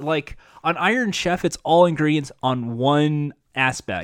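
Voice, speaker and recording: A normal speaking voice from a man at a fairly slow pace with lively intonation, on a very clean recording with a silent background and a dry, close sound with no echo. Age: 30s. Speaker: game show podcast host. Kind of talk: casual podcast chat; reading aloud show descriptions.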